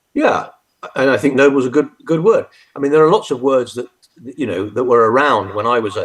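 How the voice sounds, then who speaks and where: A fairly quick pace from a man with a British accent. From UK. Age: 70s. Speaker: retired army general. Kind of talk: interview. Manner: halting, many fillers and restarts.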